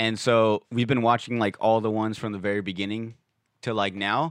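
Recorded with a dry, close sound and no echo over a quiet background, a man speaks at a fairly low pitch. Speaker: podcaster. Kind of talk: casual chat. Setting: studio.

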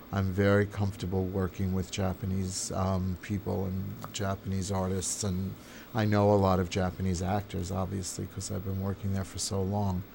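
In an American accent, the speaker delivers a dark, mellow, somewhat breathy tone with monotone, flat intonation, a moderate pace and hardly any pauses. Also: man, very deep, low pitch for a man. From New York. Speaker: theater and film director. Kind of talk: interview. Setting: editing suite.

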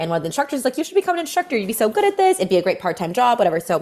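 An animated tone comes through as a woman talks. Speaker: fitness coach. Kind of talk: casual chat.

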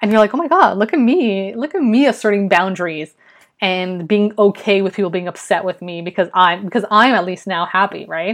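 A woman speaks with a medium pitch. Her pace is fairly quick. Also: ordinary pitch variation. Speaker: podcast host and freelance writer. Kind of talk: casual solo monologue. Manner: mumbling at times.

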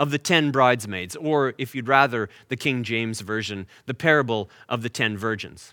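With a Canadian accent, a man talks at a medium pitch in a bright, sharp tone, the sound dry and close with no echo. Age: 40s. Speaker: pastor. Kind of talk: sermon. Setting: online church service.

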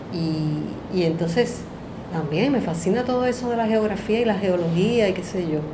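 Over noticeable background noise and audible room echo, a woman talks at a moderate pace and medium pitch with ordinary pitch variation. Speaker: artist, teacher and singer. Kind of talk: casual chat. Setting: in person in San Juan.

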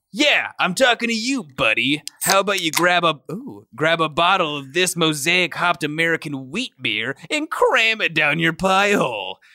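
A man performs this clip. He uses a put-on character voice. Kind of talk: 90s ad pitch, loud. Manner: brash, in-your-face.

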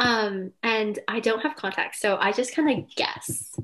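With music in the background, a woman in an American accent talks fairly slowly with lively intonation and a fairly high pitch. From California, Silicon Valley. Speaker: college student. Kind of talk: casual interview chat.

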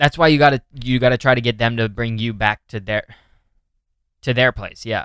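Pausing long and often, a man with a medium-pitched voice and fairly even intonation speaks at a moderate pace in a dry, close sound with no echo. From Northern California. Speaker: podcast host, comedian. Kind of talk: casual chat. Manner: casual, filler-heavy.

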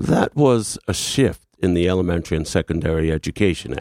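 Heard in a very clean recording with a silent background and a dry, close sound with no echo, a man with a very deep, low pitch and vocal fry speaks at a moderate pace with lively intonation. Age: 60s. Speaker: literacy professor and education activist. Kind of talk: radio interview. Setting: radio studio.

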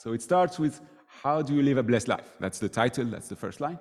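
A man with a French accent on a very clean recording with a silent background. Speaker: student ministry worker giving a sermon. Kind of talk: sermon. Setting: church.

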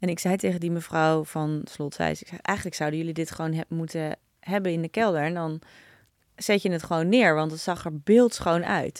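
A woman's voice at a moderate pace, fairly low in pitch, a normal speaking voice with ordinary pitch variation. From Netherlands, Naarden. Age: 40s. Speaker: entrepreneur, company founder. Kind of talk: interview, casual conversation.

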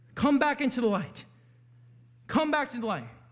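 A loud man speaks at a very fast pace. His pitch is extremely high, with ordinary variation. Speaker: pastor. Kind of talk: sermon. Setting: church.

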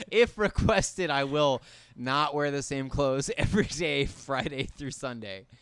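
A man has a plain, everyday voice and a fairly high pitch. His intonation is lively and his pace fairly slow. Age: 20s. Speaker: guest. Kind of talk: casual chat.

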